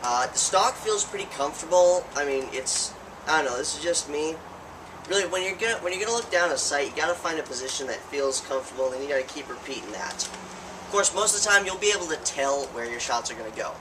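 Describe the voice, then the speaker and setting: Very fast delivery with lively intonation over noticeable background noise. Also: man. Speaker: YouTube toy blaster reviewer. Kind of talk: product review. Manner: stuttering; halting, many self-corrections.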